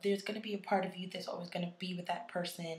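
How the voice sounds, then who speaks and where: A woman with a mid-range pitch talks in a somewhat airy voice. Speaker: YouTuber giving relationship advice. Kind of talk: vlog.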